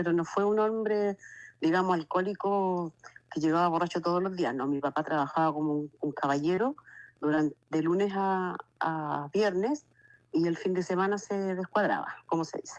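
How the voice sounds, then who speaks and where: A woman with a fairly low pitch talks at a moderate pace with ordinary pitch variation, in an unremarkable speaking voice. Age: 60s. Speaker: testimony giver. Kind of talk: testimony. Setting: phone call.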